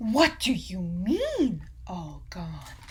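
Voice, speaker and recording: Light background noise sits behind a put-on character voice. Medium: read story. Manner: breezy, carefree.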